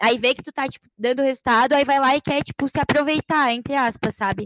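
A woman's high voice at a fairly quick pace, with ordinary pitch variation and a dry, close sound with no echo. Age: 20s. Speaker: social media influencer. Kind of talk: casual chat.

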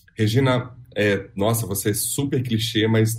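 Somewhat breathy and dark, mellow in tone, a man speaks at a fairly slow pace with fairly even intonation. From Minas Gerais, Brazil (Belo Horizonte). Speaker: actor and theatre director. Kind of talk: interview.

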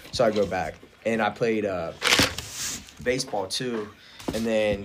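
A Midwestern American accent at a moderate pace, with fairly even intonation and noticeable background noise. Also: man. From rural Ohio. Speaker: powerlifter. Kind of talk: casual chat.

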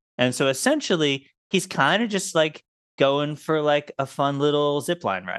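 An unremarkable speaking voice from a man, fairly high-pitched, with lively intonation at a moderate pace. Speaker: podcast host. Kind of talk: casual chat.

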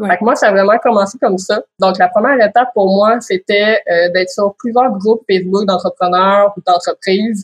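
A woman at medium pitch, fairly quick and fairly even in intonation, in a dry, close sound with no echo. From Quebec, Quebec City. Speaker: lawyer and business owner. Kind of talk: interview.

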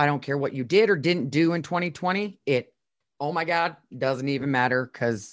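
This woman's voice is very deep and low in pitch. She talks at a moderate pace with lively intonation. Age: 40s. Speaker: podcast co-host, former radio host. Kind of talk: casual chat.

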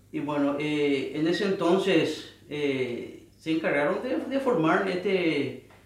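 Over noticeable background noise, a man speaks very slowly in a high pitch with lively intonation. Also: hardly any pauses. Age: 30s. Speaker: church band guitarist. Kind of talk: casual chat.

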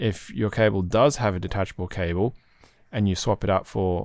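With an Australian accent, a man speaks in a relaxed tone at a fairly low pitch. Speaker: podcast host and community moderator. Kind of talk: casual chat. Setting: online voice chat.

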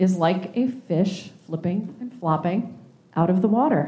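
Somewhat breathy and dark, mellow in tone, a woman's voice moves at a moderate pace at medium pitch. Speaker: worship leader. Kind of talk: worship service leading. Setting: church with congregation, also streamed online.

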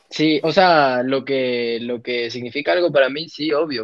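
Lively in intonation, a man with an unremarkable speaking voice and a fairly high pitch talks at a fairly slow pace. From Ecuador, Quito. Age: 20s. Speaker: professional footballer. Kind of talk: interview.

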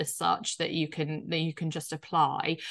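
A woman with a Yorkshire accent, a bright, sharp tone and a fairly slow pace against a quiet background. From Yorkshire, northern England. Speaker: startup founder and CEO. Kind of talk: interview. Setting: video call. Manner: hesitant, filler-heavy.

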